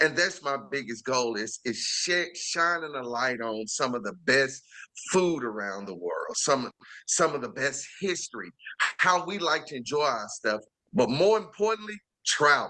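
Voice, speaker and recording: A man's animated, fairly high-pitched voice in a strong Southern US accent, fairly slow, with very wide pitch swings. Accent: heavy Southern US. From Chicago. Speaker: chef and TV series host. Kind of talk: interview.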